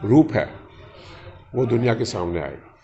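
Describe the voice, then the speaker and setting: Noticeable noise runs behind a man whose voice sits at a medium pitch. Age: 70s. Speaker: industrialist and spiritual speaker. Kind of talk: interview.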